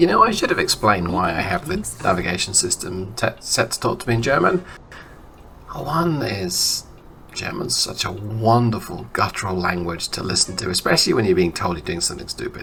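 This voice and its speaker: Noticeable background noise can be heard. The voice's pitch moves across a very wide range. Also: man, fairly low pitch for a man. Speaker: video game streamer. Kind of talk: casual gameplay commentary.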